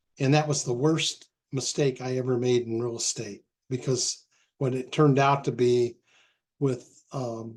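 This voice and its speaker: This man talks at a fairly slow pace in a medium pitch. His intonation is monotone and flat. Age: 70s. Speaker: real estate investor. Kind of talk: casual talk to a meeting. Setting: recorded group meeting. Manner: halting, many fillers.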